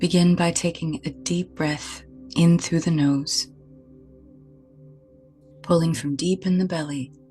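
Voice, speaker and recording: A woman's fairly low-pitched, fairly slow speech with long, frequent pauses over music in the background. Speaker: energy healer, spiritual mentor. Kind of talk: guided meditation. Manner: soft-spoken.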